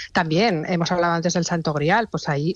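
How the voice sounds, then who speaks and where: In an ordinary speaking voice, a woman talks at a moderate pace and a fairly low pitch, with a dry, close sound with no echo over a quiet background. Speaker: travel recommendations contributor. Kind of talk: radio interview.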